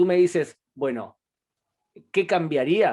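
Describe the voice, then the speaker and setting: Using lively intonation, a man talks at a fairly slow pace. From Argentina. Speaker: public diplomacy program director. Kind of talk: interview.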